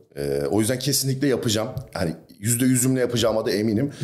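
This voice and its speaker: This man talks at a very fast pace. He holds a medium pitch. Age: 20s. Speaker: bodybuilder and fitness coach. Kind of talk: casual chat.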